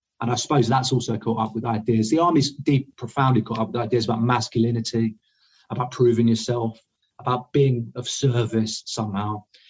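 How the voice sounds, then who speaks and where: A man with an English accent, somewhat breathy and medium-pitched, at a fairly quick pace with fairly even intonation. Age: 30s. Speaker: army deserter, war dissident. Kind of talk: interview. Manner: halting.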